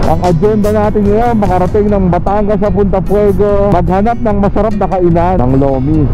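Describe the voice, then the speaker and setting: The speech moves at a fairly quick pace with a dry sound and no echo, while clear music plays in the background. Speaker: motovlogger. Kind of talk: casual vlog chat. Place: motorbike.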